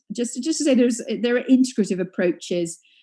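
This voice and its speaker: Somewhat breathy, a woman with a British accent speaks in a dark, mellow tone. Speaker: psychoanalytic psychotherapist. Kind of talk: conference lecture. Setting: live webinar. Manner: halting, many fillers; fast.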